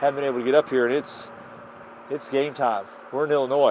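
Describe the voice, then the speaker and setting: Over noticeable background noise, the speech comes at a very fast pace. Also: man. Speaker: hunting show host. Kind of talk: outdoor vlog narration. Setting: outdoors. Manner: animated.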